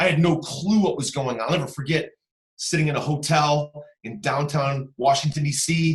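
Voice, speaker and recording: An American accent marks this man's fairly high voice. His tone is animated and somewhat breathy. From US Midwest, Cleveland Ohio. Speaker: real estate investor. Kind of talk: podcast interview.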